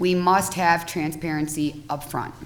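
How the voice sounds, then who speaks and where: At a moderate pace, a woman with a fairly low pitch speaks in fairly even intonation, with audible room echo. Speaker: cannabis dispensary applicant and trade association president. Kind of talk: testimony at public hearing. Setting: legislative hearing room. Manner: formal, reading prepared remarks.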